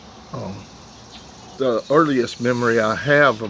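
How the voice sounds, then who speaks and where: Talking very slowly with fairly even intonation, a man at medium pitch speaks in an American accent over noticeable background noise. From US South, East Tennessee (Athens). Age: 70s. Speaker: war veteran. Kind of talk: testimony. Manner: halting, many fillers.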